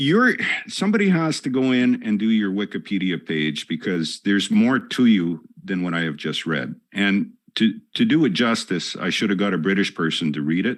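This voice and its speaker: A man speaks at a moderate pace with a Northern Canadian accent and a fairly low pitch. His intonation is lively against a quiet background. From Northern Canada. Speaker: podcast host. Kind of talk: interview. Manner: halting.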